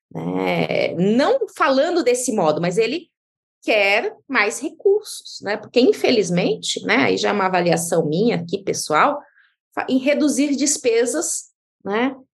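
Very slowly, a woman speaks at a fairly high pitch with vocal fry. Her pitch swings very widely. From Brazil, interior of Mato Grosso (Diamantino). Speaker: tax law professor and lawyer. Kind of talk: interview, expert explanation.

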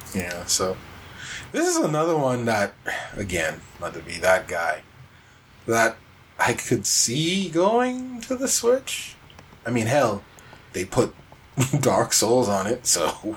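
A man speaks very slowly, leaving long, frequent pauses, while noticeable noise sounds behind him. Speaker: podcast co-host. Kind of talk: casual podcast chat.

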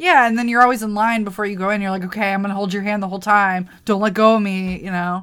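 Speaking very fast with hardly any pauses, a woman keeps a medium pitch and fairly even intonation in a very clean recording with a silent background. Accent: American. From US Midwest (Wisconsin). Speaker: podcast co-host. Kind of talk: casual chat.

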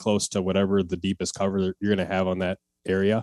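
This man has a dark, mellow tone, a fairly low pitch and an American accent, speaking at a very fast pace. The recording is very clean with a silent background and a dry, close sound with no echo. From Wisconsin, US upper Midwest. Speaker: hunting content creator. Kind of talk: podcast interview.

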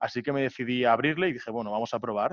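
A man of medium pitch has a plain, everyday voice with ordinary pitch variation. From Barcelona, Spain. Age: 20s. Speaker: student, entrepreneur and DJ. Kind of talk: interview.

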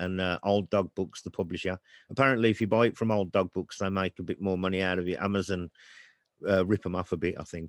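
Fairly low-pitched man with a Brummie accent, ordinary pitch variation and a fairly quick pace, dry and close with no echo in a very clean recording over a silent background. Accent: Brummie (Birmingham). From Birmingham, England. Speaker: author. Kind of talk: casual chat.

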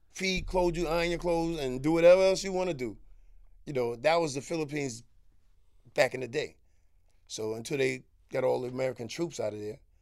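With a Harlem accent, a man talks very fast at a fairly high pitch, with ordinary pitch variation and long, frequent pauses. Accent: New York City, Harlem. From Harlem, New York. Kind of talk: casual interview, storytelling.

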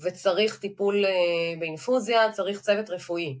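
A woman's medium-pitched voice at a moderate pace. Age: 50s. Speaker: clinical dietitian. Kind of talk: interview.

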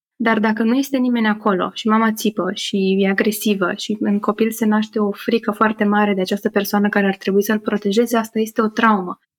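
Speaking at a fairly quick pace with hardly any pauses, a woman uses a fairly high pitch. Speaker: psychotherapy-informed podcaster and workshop leader. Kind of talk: interview conversation. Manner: upbeat.

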